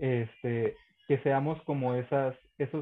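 A man's voice at a medium pitch. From northern Mexico. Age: 20s. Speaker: content creator. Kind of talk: casual chat.

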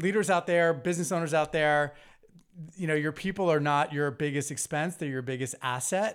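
Here is a man with an ordinary speaking voice, pitched fairly high, at a moderate pace. The recording is very clean, with a silent background. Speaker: podcast co-host. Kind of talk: casual interview chat.

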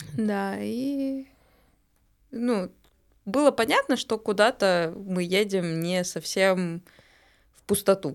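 A woman at a very slow pace, with long, frequent pauses and big swings in loudness, in a very clean recording with a silent background. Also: medium pitch for a woman, lively intonation. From Bashkortostan, Russia. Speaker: marketer, club member. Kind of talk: casual chat. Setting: studio.

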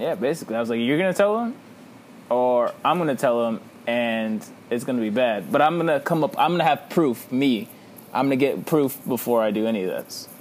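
A man talks in a normal speaking voice at a medium pitch and a fairly quick pace, with lively intonation. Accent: American. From Texas, Victoria. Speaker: podcast co-host. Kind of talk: casual chat.

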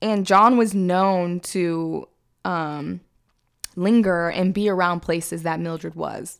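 A woman with an American accent, fairly low in pitch, speaking very slowly with fairly even intonation on a very clean recording with a silent background. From Sacramento, California. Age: 20s. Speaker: true crime podcast host. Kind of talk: casual chat with scripted case narration.

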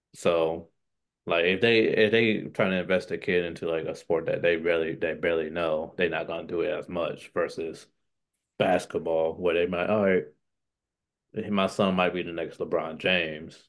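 A man talks at a moderate pace with a very deep, low pitch and fairly even intonation. The background is quiet. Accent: American. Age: 20s. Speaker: middle school athletic director. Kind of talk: casual interview.

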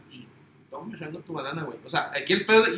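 Over noticeable background noise, a man raises and projects his voice. He speaks with a Mexican accent. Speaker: sports podcast co-host. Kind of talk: casual chat.

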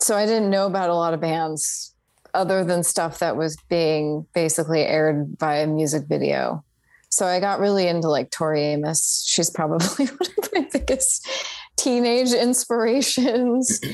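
With an unremarkable speaking voice, a woman talks at a moderate pace, her intonation lively and her loudness very even. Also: fairly low pitch for a woman. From Northern California (Fort Bragg, Mendocino). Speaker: singer-songwriter. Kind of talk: interview.

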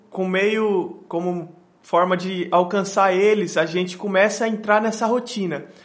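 Against audible room echo, a man with a high-pitched voice speaks at a fairly slow pace with fairly even intonation. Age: 20s. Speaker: missionary. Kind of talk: interview.

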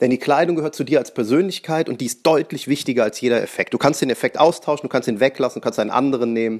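A man rushes along at a very fast pace with hardly any pauses, keeping a medium pitch and ordinary pitch variation. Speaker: magician and podcast host. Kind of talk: solo podcast monologue. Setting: at home on the couch.

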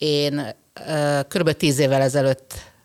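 The recording is very clean, with a silent background and a dry, close sound with no echo. A woman with a very deep, low pitch speaks very slowly in a fairly even intonation. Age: 50s. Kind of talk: casual chat.

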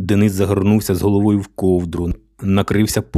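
A natural reading voice carries the clip.

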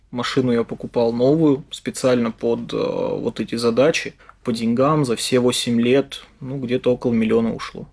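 A man talks at a moderate pace and medium pitch. He has an unremarkable speaking voice. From Russia, Yaroslavl. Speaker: head of software development department. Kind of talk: interview.

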